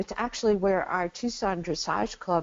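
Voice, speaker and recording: A woman's fairly low voice with an American accent, an ordinary speaking voice with ordinary pitch variation. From Arizona, US Southwest. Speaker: equine therapy pioneer. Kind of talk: interview.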